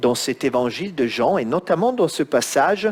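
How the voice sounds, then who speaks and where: A man speaks, his pitch swinging very widely. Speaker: preacher. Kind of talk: sermon.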